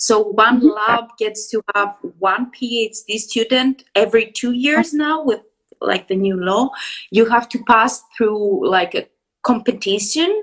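Speaking with a Greek accent, a woman uses a fairly high pitch and ordinary pitch variation. She talks at a fairly slow pace. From Greece. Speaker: PhD student, biologist. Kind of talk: interview. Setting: live stream. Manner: enthusiastic.

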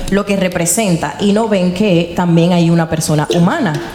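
Amid noticeable background noise and audible room echo, a woman talks at medium pitch and a fairly slow pace. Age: young. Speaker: podcast host and producer. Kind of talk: casual interview.

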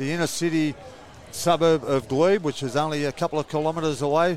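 Here is a man with an unremarkable speaking voice. His pitch sits fairly high, with fairly even intonation. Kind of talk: live sports commentary, co-commentator analysis. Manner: relaxed, conversational, casual banter.

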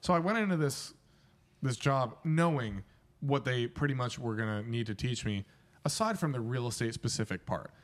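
A man's plain, everyday voice at medium pitch, lively intonation and a moderate pace, on a very clean recording with a silent background. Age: 20s. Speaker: real estate photographer and podcast co-host. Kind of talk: casual chat. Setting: indoors at a home.

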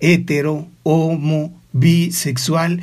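A man with a Mexican accent speaks in a somewhat breathy voice. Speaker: radio host. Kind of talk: radio interview. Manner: formal.

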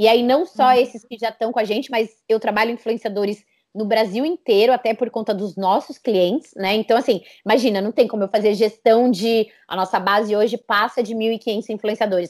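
At a fairly quick pace, a woman talks in an ordinary speaking voice, fairly high in pitch with fairly even intonation, on a very clean recording with a silent background. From Brazil, São Paulo. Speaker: entrepreneur, communications agency founder. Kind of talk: interview.

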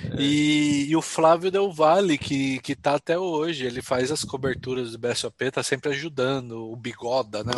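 Pausing hardly at all, a man talks at a fairly slow pace with ordinary pitch variation. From Jundiaí, São Paulo state, Brazil. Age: 30s. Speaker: professional poker player. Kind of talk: casual interview.

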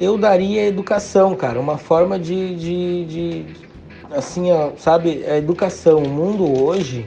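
A man talks at a fairly slow pace in a high voice with ordinary pitch variation. Audible room echo and noticeable background noise fill the recording. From Rio Grande do Sul, Brazil (Novo Hamburgo area). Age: 30s. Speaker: gaúcho dance teacher. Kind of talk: casual interview chat.

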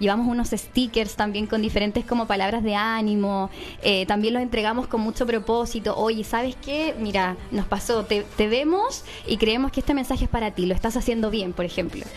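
Over noticeable background noise, a woman speaks at a fairly quick pace. Her fairly high voice keeps very even loudness and fairly even intonation. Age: 30s. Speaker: podcast co-host. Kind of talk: casual interview.

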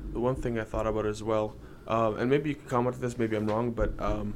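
A man talks with a Canadian accent at a fairly low pitch. His intonation is monotone and flat. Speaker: podcast co-host. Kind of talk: casual chat.

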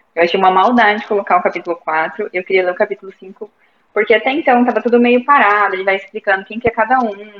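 This woman talks at a very fast pace. Her pitch sits in the medium range. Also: ordinary pitch variation. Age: 20s. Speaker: book club member, university student. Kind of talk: casual chat. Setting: video call.

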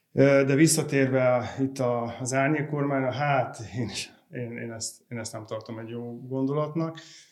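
With a normal speaking voice, a man talks at a fairly slow pace and medium pitch, keeping fairly even intonation while his loudness swings widely. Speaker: business editor. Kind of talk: panel discussion.

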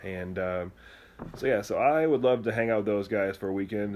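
This is a man with an American accent and a fairly low pitch. He has a plain, everyday voice. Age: 30s. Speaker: podcast host. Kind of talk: casual chat.

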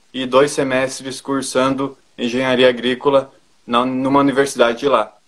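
A man at a moderate pace, medium in pitch. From Brazil, northwestern Rio Grande do Sul. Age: 20s. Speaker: agricultural engineer. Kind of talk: interview.

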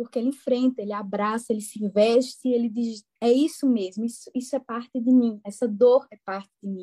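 In a Pernambuco accent, a woman speaks at a moderate pace with a high pitch, a dark, mellow tone and fairly even intonation, the sound dry and close with no echo on a very clean recording with a silent background. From Brazil, interior of Pernambuco. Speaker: psychologist. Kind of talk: casual podcast interview.

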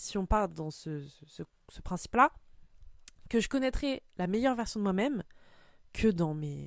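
On a very clean recording with a silent background, a woman speaks at a medium pitch. She talks fairly slowly, her pitch swinging very widely. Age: 20s. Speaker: podcaster. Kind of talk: personal monologue.

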